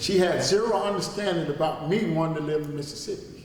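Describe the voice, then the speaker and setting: Amid noticeable background noise and audible room echo, a man talks at a fairly quick pace with fairly high pitch and ordinary pitch variation. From Chicago, US Midwest. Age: 60s. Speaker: interviewee, relative of a local figure. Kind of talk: interview. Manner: repetitive, stammering restarts.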